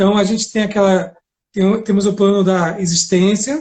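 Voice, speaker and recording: Speaking at a moderate pace, a man with a Bahian accent has a high-pitched voice. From Bahia, Brazil. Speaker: law professor and lawyer. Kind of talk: lecture-style live interview. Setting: Instagram live video.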